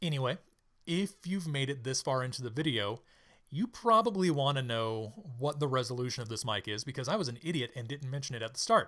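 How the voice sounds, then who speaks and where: A man speaks at a medium pitch with lively intonation, a bright, sharp tone and a fairly quick pace. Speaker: tech reviewer. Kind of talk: product review.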